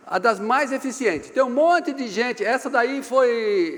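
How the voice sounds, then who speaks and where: A man talks at a moderate pace in an animated tone with lively intonation. Noticeable background noise is present. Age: 60s. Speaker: business consultant and speaker. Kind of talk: seminar talk. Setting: seminar room with live audience.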